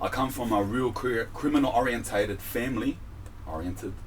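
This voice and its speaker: A man with an Australian accent speaks at a medium pitch. His fairly quick speech carries audible room echo. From Australia, Sydney. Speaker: rapper. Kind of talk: interview. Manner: halting.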